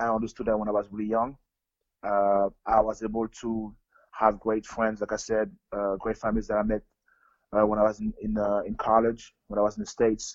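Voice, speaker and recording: A man speaks at a fairly quick pace with a fairly low pitch. His intonation is monotone and flat, broken by long, frequent pauses. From Africa, then France. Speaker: professional basketball player. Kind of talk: interview. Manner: halting.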